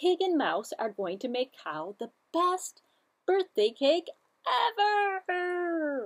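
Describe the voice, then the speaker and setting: With an extremely high pitch and very wide pitch swings, a woman speaks at a very slow pace in a quiet background. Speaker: library story time host. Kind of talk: children's story time reading. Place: studio.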